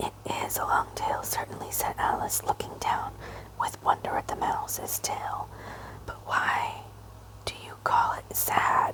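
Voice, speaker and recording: Someone whispers at a fairly slow pace with long, frequent pauses, over noticeable background noise. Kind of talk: whispered ASMR audiobook reading. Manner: whispered.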